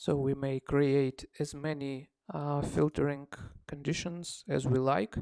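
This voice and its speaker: Speaking at a fairly slow pace, the voice carries a non-native accent. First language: not English. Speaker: software developer demonstrating own app. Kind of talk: tutorial. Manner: halting, many fillers.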